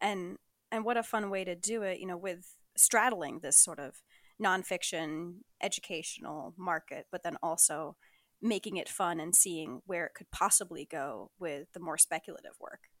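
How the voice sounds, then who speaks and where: A woman's fairly low voice, an unremarkable speaking voice, with ordinary pitch variation and a moderate pace, in a dry, close sound with no echo over a silent background in a very clean recording. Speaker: podcast host. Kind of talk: interview, casual chat. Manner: warm, laughs often.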